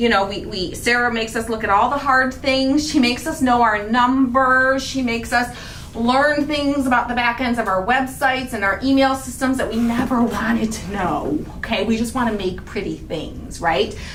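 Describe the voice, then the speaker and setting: A woman with a high pitch speaks in an animated tone with ordinary pitch variation, audible room echo and noticeable background noise around her. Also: hardly any pauses. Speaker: craft channel host. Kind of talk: casual chat. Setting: livestream. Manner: fast.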